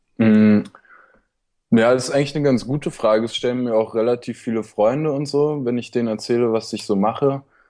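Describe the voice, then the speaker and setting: A man talks at a fairly quick pace and a medium pitch. His intonation stays fairly even against a quiet background. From Berlin. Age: young. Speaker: student and online seller. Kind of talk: casual interview. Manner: halting, many fillers.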